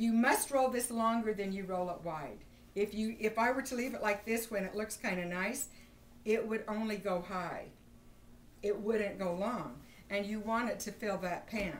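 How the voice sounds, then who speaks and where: A woman's fairly high voice at a moderate pace, with ordinary pitch variation and audible room echo. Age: 60s. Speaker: home baker giving a bread-making class. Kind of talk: casual storytelling; cooking demonstration. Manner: animated.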